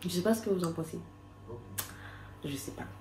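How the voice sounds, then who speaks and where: A soft-spoken woman at a fairly low pitch, with audible room echo. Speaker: vlogger. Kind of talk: casual vlog talk to camera. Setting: outdoors.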